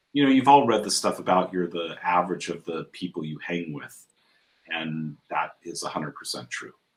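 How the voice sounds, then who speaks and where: A man with a Californian accent speaks at a moderate pace in a very deep, low pitch. His intonation is lively, and his loudness swings widely. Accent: General American (Californian). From US West Coast (San Diego, Southern California). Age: 60s. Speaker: entrepreneur, founder of a life-coaching network. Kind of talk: interview conversation. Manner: repeats words, some false starts.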